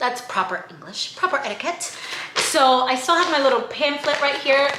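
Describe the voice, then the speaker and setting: Over noticeable background noise and audible room echo, a woman speaks fairly quickly in a high voice, animated in tone and lively in intonation. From outside the US, moved to America. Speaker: travel vlogger and podcast co-host. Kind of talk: casual travel vlog.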